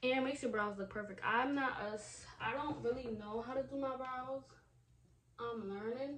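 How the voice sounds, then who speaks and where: Room echo is audible as a woman speaks at a high pitch and a moderate pace with ordinary pitch variation. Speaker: beauty YouTuber. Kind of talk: casual makeup vlog chat. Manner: animated.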